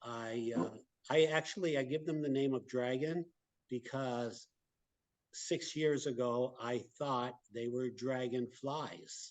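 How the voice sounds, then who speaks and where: A man with an American accent talks very slowly at medium pitch, keeping his intonation fairly even. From US West Coast, Los Angeles. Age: 60s. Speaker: retired pharmacist, UFO videographer. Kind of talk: interview.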